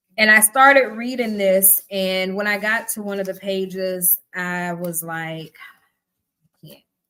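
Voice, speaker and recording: With a Southern US accent, a woman speaks at a fairly slow pace in a bright, sharp tone, her loudness swinging widely. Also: medium pitch for a woman, ordinary pitch variation. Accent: Southern twang. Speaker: book club host. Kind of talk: live stream reading and commentary. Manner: casual, conversational.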